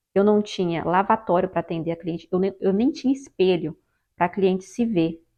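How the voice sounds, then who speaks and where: A woman's medium-pitched voice with a Brazilian accent, a moderate pace and ordinary pitch variation. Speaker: hairdresser and hair straightening instructor. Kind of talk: tutorial. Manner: halting.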